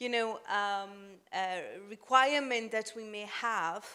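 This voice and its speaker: A woman speaks with a non-native accent at a very slow pace and fairly high pitch. Her intonation is fairly even, in a very clean recording with a silent background. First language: not English. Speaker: humanitarian donor representative. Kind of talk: panel discussion. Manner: halting.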